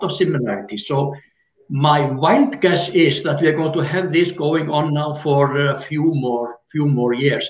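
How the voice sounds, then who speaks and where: At a fairly slow pace, a man with an Icelandic accent speaks at a fairly high pitch with ordinary pitch variation. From Iceland (north, lake area). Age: 60s. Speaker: retired geologist and tour guide. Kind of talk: interview explanation.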